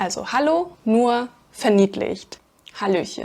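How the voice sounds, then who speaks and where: Pitched fairly high, a woman speaks at a very slow pace. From Germany, Aachen (Rhineland). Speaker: language teacher. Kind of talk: tutorial. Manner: unscripted, conversational.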